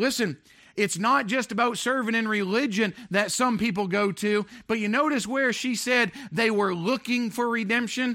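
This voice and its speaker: On a very clean recording with a silent background, a man with a high pitch uses a raised, projected voice, a bright, sharp tone, and very even loudness. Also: ordinary pitch variation, moderate pace. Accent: American. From Maine, US. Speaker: pastor. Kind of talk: sermon. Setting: church.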